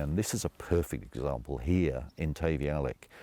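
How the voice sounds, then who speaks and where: On a very clean recording with a silent background, a man speaks with very deep, low pitch, ordinary pitch variation and a dark, mellow tone. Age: 70s. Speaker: founder and CEO of a nature recovery company. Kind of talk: interview answer.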